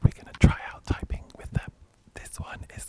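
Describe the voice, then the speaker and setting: A man whispering amid noticeable background noise. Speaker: product reviewer / editor. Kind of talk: ASMR product demo. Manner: whispered, soft-spoken.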